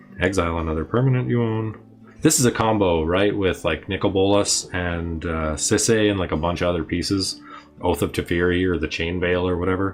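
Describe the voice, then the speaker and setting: There is music behind the voice. The delivery is fairly quick. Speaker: trading card game streamer. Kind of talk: casual livestream commentary while opening a collection. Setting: livestream. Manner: casual, filler-heavy speech.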